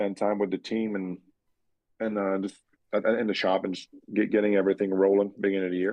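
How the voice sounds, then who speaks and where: With long, frequent pauses, a man with a fairly low voice talks very fast in a flat monotone. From Quebec, Canada. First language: French. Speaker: race car driver. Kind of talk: podcast interview. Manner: halting, many fillers and repeats.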